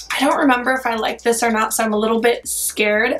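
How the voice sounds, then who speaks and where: Over music in the background, a woman speaks in a fairly high pitch. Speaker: beauty vlogger. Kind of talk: makeup tutorial. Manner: casual, chatty.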